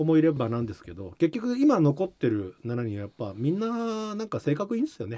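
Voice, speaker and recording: Moving through very wide pitch swings at a moderate pace, a man speaks in a fairly high voice with a dark, mellow tone. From Japan, Shizuoka. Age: 50s. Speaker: musician and record producer. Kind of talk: interview.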